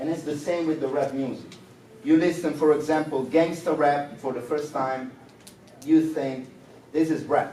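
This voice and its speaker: In a room with audible echo and noticeable background noise, a man speaks at a moderate pace in a fairly high pitch with monotone, flat intonation and long, frequent pauses. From Rome, Italy. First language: Italian. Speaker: rapper. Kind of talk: interview. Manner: halting non-native English.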